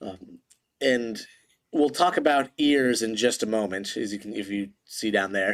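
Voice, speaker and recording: On a very clean recording with a silent background, a man uses an ordinary speaking voice at a fairly slow pace with lively intonation. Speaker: teacher. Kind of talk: lecture. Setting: home recording in living room.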